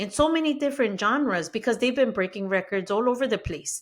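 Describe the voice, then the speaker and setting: This very clean recording has a silent background and a woman speaking with a Spanish accent. Her tone is animated and her intonation lively. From Mexico-born, raised in the US. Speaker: podcast host. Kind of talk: podcast monologue.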